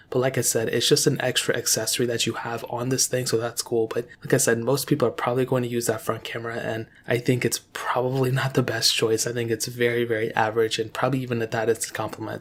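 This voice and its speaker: Against noticeable background noise, a man rattles along at a very fast pace with hardly any pauses, his medium-pitched voice monotone and flat. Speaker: tech reviewer. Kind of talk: product review. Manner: casual, conversational.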